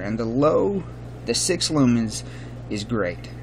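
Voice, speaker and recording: Noticeable noise sits in the background. Through it, a man talks at a medium pitch. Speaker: flashlight reviewer, works as EMT. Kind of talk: product review. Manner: casual with many fillers.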